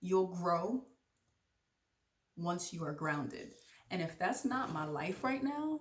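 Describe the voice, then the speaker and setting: A woman with a fairly low pitch uses very wide pitch swings and an animated tone, broken by long, frequent pauses. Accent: American. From Jamaican from Brooklyn, New York. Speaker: podcast host. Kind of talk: casual vlog monologue. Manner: fast.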